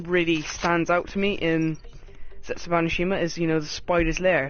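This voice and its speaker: Someone speaks with a British accent over noticeable background noise. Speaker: gaming YouTuber. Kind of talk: game review commentary. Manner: fast.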